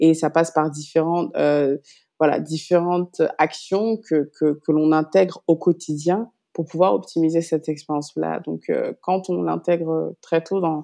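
Against a quiet background, a woman with a fairly low pitch and a dark, mellow tone talks at a fairly slow pace with fairly even intonation. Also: dry, close sound with no echo. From France, Paris. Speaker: startup incubator program manager. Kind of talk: interview. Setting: remote recording.

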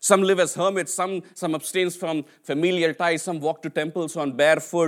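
Over a silent background in a very clean recording, a man with an Indian accent speaks at a moderate pace in a high pitch, with flat, monotone intonation and hardly any pauses. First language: an Indian language (English is third language). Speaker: preacher. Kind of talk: sermon. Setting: church.

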